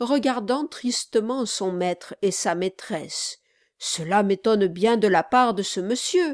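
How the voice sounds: A natural reading voice, heard against a quiet background.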